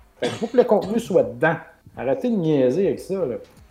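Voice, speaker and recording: The speaker has a Quebec accent and talks at a moderate pace. The pitch swings very widely. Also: man. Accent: Québécois French. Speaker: video game podcast co-host. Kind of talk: casual chat.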